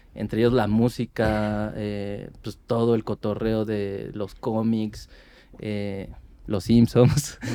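A man talks at a very slow pace in a monotone, flat intonation. His tone is dark and mellow. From Mexico City, Iztapalapa. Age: 40s. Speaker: ska band vocalist. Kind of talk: casual interview chat.

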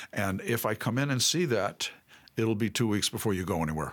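A man's fairly low voice with an American accent. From New York City. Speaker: family ministry director. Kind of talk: interview.

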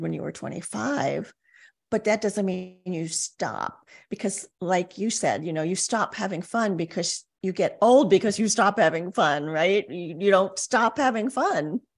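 A woman with a plain, everyday voice, medium pitch and ordinary pitch variation, at a fairly slow pace against a quiet background. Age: 60s. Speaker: life coach. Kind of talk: interview podcast conversation.

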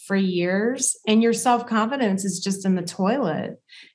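A woman with an unremarkable speaking voice talks at a moderate pace. Her intonation is fairly even. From US South. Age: 50s. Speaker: dietitian and author. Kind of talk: interview.

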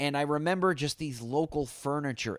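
A man with a plain, everyday voice, fairly high pitch and moderate pace, in a very clean recording with a silent background. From Boston. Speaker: comedian and podcaster. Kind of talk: casual chat.

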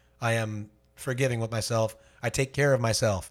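A man speaks with a somewhat breathy voice on a very clean recording with a silent background. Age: 30s. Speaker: working musician, podcast co-host. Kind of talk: casual chat. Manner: animated.

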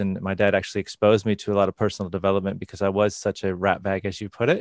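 Very fast speech comes from a man with a Midwestern accent and a fairly low pitch. The sound is dry and close with no echo against a quiet background. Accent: American Midwest. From US Midwest, northern Indiana. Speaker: sound healing practitioner. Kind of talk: interview. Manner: halting.

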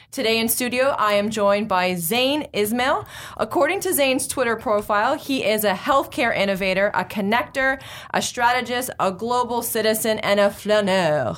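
This woman has an ordinary speaking voice, fairly high in pitch, with ordinary pitch variation, a moderate pace, and very even loudness. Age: 30s. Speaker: tech podcast host. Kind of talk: casual interview chat. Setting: studio.

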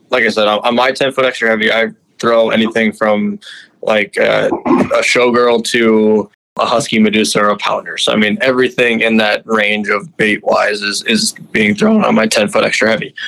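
With an Upper Midwest accent, a man talks at a moderate pace and very even loudness. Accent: Upper Midwest American. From Minnesota. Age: 20s. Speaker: fishing guide. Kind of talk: casual interview.

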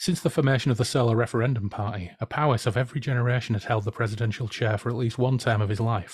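The voice heard is a natural reading voice.

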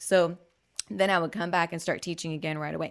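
In a very clean recording with a silent background, a woman talks at a fairly low pitch with ordinary pitch variation in a plain, everyday voice. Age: 30s. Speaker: dance teacher. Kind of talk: interview.

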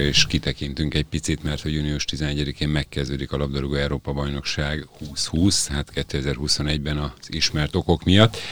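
Very deep and low in pitch, a man's voice moves at a moderate pace. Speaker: podcast host. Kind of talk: casual sports chat. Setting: studio.

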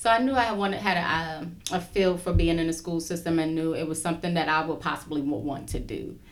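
A woman's fairly low voice with an American accent, fairly quick and hardly pausing, ordinary pitch variation, audible room echo around it. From Brooklyn, New York. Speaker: school social worker. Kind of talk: casual interview.

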